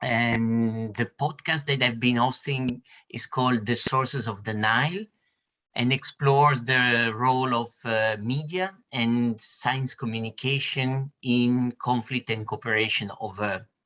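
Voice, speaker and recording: This man has a bright, sharp tone at a medium pitch, speaking at a fairly slow pace with ordinary pitch variation. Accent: Italian. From Italy. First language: Italian. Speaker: university lecturer and researcher. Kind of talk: roundtable discussion. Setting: video call.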